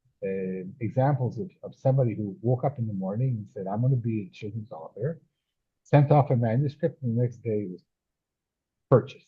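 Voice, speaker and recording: Ordinary pitch variation runs through a somewhat breathy voice that moves fairly quickly. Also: man, medium pitch for a man. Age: 70s. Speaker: children's author and scientist. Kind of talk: casual interview chat. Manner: halting, many fillers and repetitions.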